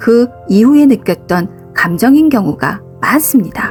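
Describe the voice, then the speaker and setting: Over music in the background, a woman speaks fairly slowly in a calm, soothing tone, her fairly high voice swinging very widely in pitch. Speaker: psychological counselor. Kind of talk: counseling talk narration.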